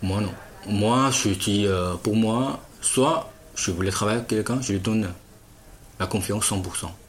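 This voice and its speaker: With audible room echo, a man speaks at a fairly slow pace and pauses long and often. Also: ordinary pitch variation. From China. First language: Chinese (speaking French). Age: 30s. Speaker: businessman. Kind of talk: interview. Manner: halting.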